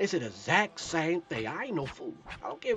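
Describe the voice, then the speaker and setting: A man talks with a high pitch. Noticeable background noise runs behind him. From Ohio, US. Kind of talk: casual monologue. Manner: rambling, repetitive.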